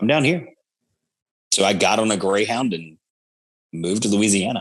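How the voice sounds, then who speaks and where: With an American accent, a man speaks at a fairly low pitch and a moderate pace, his intonation lively. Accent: Georgia Southern accent, comes out over time. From Georgia, US South. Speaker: podcaster. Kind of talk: casual chat.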